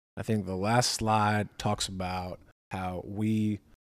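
A man with an ordinary speaking voice and fairly low pitch keeps a fairly even intonation in a very clean recording with a silent background. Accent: American. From Massachusetts, New England. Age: 20s. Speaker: podcast co-host. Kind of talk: casual chat.

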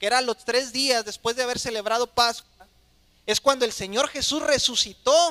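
A man uses a raised, projected voice at an extremely high pitch with ordinary pitch variation. His tone is bright and sharp, and the sound is dry and close with no echo. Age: 30s. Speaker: pastor. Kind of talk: sermon.

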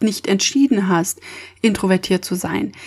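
A woman does the talking. There is a somewhat breathy quality to her voice. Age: 20s. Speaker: podcast host. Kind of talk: solo monologue podcast.

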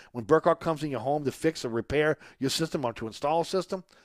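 With an upbeat tone and a fairly high pitch, a man talks at a very fast pace in a dry, close sound with no echo. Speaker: radio host. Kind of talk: live radio sports talk show. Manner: conversational, upbeat, promotional.

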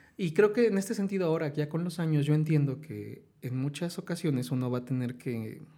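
In a central Mexican accent, a man talks with hardly any pauses and lively intonation. His voice is fairly high, with a dark, mellow tone. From Mexico, Hidalgo (Tulancingo area). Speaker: writer. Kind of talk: casual chat. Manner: animated.

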